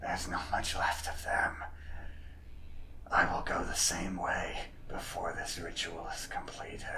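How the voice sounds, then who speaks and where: Amid loud background noise, a man whispers in a put-on character voice at a moderate pace, leaving long, frequent pauses. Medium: actual play. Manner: fanatically loyal.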